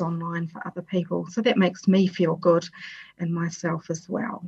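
A woman's somewhat breathy, fairly low voice with a New Zealand accent, fairly slow and flat in a monotone. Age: 50s. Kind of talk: personal talk on well-being.

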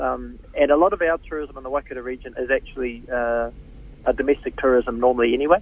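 Here a man speaks with a New Zealand accent. His pace is very fast. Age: 40s. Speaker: politician. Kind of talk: radio interview. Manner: halting, many fillers and repeats.

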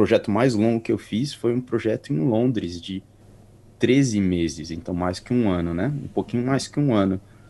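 A man's dark, mellow voice at a fairly low pitch, fairly slow pace and ordinary pitch variation, over a quiet background. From Brazil, São Paulo area (Carapicuíba). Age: 30s. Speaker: podcast co-host, interview guest. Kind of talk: interview, casual chat.

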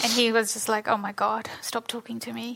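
A bright, sharp tone from a woman with a New Zealand accent. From New Zealand, born in Fiji. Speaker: author. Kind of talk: festival panel conversation. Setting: stage with audience.

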